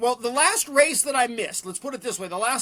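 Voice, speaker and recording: A man speaks at an extremely high pitch with lively intonation. His raised, projected voice has a bright, sharp tone. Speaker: race announcer. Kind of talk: podcast interview answer.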